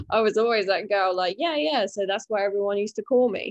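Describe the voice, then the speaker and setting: With a British accent, a woman talks with ordinary pitch variation against a quiet background. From UK. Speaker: recovering alcoholic sharing her story. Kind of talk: interview, personal testimony.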